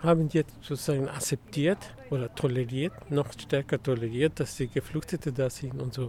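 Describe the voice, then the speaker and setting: A man speaks with a Mexican accent. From Mexico. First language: Spanish (speaking German). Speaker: migrant rights activist. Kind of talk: interview. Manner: halting.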